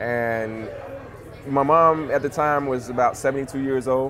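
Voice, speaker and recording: With a Louisiana accent, a man speaks fairly slowly at a medium pitch with ordinary pitch variation, amid noticeable background noise. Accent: US Southern (Louisiana). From Louisiana (Monroe). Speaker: cannabis entrepreneur, former engineer. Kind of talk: casual interview.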